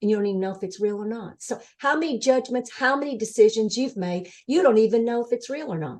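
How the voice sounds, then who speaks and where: A woman speaks at a very fast pace. Her pitch is fairly high, with ordinary pitch variation. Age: 70s. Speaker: near-death experiencer, former social worker. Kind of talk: interview.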